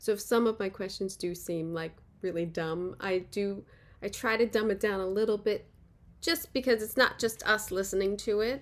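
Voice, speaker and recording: On a very clean recording with a silent background, a woman with an American accent talks at a moderate pace and medium pitch, with ordinary pitch variation. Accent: Philly accent, only when drinking. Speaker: podcast host. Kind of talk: interview conversation.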